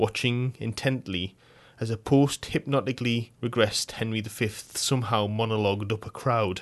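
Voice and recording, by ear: In a natural voice, a passage is read out loud.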